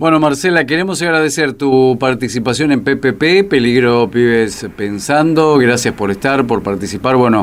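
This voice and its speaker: A man with a Rioplatense accent and medium pitch, very even in loudness, with hardly any pauses. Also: lively intonation, moderate pace. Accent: Argentine Rioplatense Spanish. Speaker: radio host. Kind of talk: radio interview.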